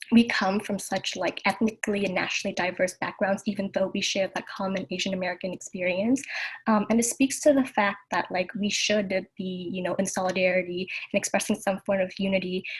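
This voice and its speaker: A woman's somewhat breathy voice at medium pitch, fairly even in intonation and fairly quick in pace. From Southern California, Vietnamese American family. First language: Vietnamese. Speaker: youth panelist. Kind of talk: panel discussion.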